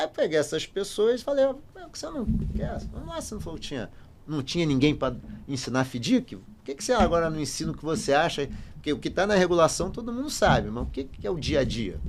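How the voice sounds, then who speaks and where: Speaking at a very fast pace, a man with a fairly high pitch makes very wide pitch swings and big swings in loudness. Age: 60s. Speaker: finance professor and consultant. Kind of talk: podcast interview.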